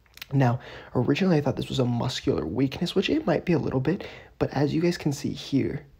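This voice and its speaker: The voice is soft-spoken and moves at a very fast pace. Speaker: fitness vlogger. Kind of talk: casual training vlog. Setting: at home at night, family in house. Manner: quiet, talking softly.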